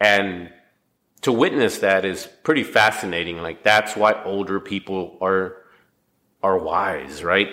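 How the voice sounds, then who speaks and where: A man speaks at a fairly slow pace in a fairly low pitch, his tone bright and sharp, with ordinary pitch variation. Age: 40s. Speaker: podcast host. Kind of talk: reading aloud; casual monologue.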